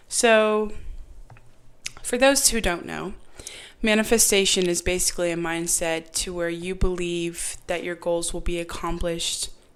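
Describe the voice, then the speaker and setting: A woman talks at a fairly slow pace. Her pitch is medium, with ordinary variation. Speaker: podcast host. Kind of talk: casual podcast monologue. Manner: serious, earnest.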